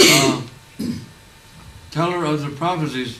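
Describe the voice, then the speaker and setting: Speaking fairly slowly, a man is heard with audible room echo. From Onondaga Nation, upstate New York. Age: 80s+. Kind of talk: public talk. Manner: halting.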